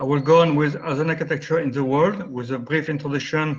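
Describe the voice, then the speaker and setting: A fairly quick delivery in a French accent with fairly even intonation. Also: man. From France. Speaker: architect. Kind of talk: lecture. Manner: fast.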